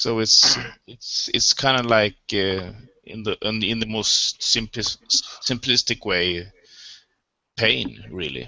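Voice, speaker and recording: A man with a Swedish accent at a very slow pace, with long, frequent pauses. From Sweden. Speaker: participant. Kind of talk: philosophical discussion. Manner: halting.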